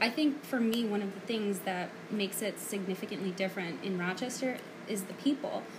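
Over noticeable background noise, a woman with an American accent talks at a fairly quick pace, her medium pitch moving with ordinary variation. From the Bronx, New York City. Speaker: guest co-host. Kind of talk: casual chat.

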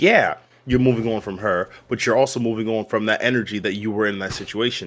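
Using an ordinary speaking voice with an American accent, a man talks at a fairly quick pace and medium pitch, his intonation fairly even. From US, Baltimore, Maryland. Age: 30s. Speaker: comedian. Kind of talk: casual chat.

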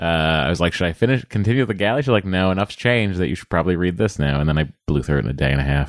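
Very fast and at very even loudness, a man speaks with a very deep, low pitch and lively intonation. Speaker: TV writer and podcaster. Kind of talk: casual chat. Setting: studio.

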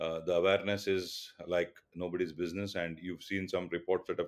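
Speaking fairly quickly with an Indian accent, a man with a very deep, low voice keeps his intonation fairly even. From India, Mumbai. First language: Tulu. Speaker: telecom business executive. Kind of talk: interview. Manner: halting with many fillers.

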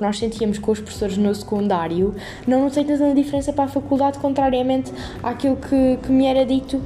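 Over noticeable background noise, a woman with a fairly high pitch and ordinary pitch variation speaks at a fairly quick pace. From Portugal, Alentejo (Montemor-o-Novo, Évora district). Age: 18. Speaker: university student podcaster. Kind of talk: casual unscripted monologue. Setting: at home on her bed.

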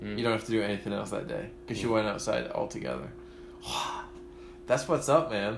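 This man speaks very fast. Behind him there is noticeable background noise. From Barnsley, South Yorkshire, England. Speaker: guest. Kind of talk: casual chat.

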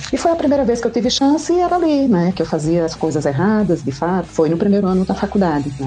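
A woman talks at a very fast pace with hardly any pauses, at medium pitch with very wide pitch swings. Her loudness is very even, and noticeable background noise is present. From Brazilian Northeast. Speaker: endocrinologist. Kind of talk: podcast interview.

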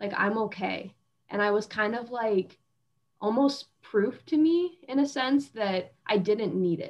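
A woman with a normal speaking voice, fairly high in pitch, at a fairly slow pace with lively intonation. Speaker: former college gymnast, physical therapy student. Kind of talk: casual chat.

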